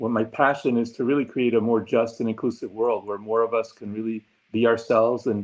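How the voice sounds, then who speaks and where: A man with a Spanish accent talks at a fairly quick pace. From Argentina, then New York and Puerto Rico. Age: 60s. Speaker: diversity consultant and former psychology professor. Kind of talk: interview, self-introduction. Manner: many fillers (um, uh).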